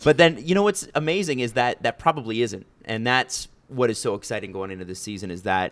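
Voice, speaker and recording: Lively intonation marks a man's unremarkable speaking voice. He talks fairly quickly at a medium pitch. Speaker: podcast host, hockey. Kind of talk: casual chat, conversational podcast.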